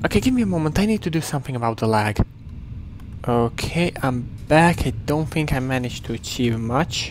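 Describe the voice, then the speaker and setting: A man talks at a fairly quick pace and a medium pitch. His intonation is lively. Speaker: gaming video creator and poet. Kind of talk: gameplay commentary. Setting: home recording with headset. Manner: halting.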